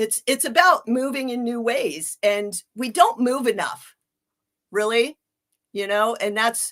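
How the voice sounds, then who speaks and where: A woman with an American accent speaks at a fairly slow pace and a fairly high pitch. She has an ordinary speaking voice. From Ohio, US Midwest. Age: 50s. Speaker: health coach. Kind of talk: interview.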